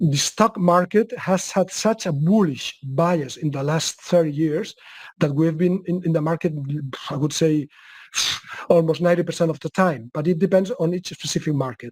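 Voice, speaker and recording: In a Spanish accent, a man speaks at a high pitch with ordinary variation and a moderate pace. The sound is dry and close with no echo, on a very clean recording with a silent background. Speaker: market analyst. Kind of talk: webcast Q&A. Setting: webcast. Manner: halting.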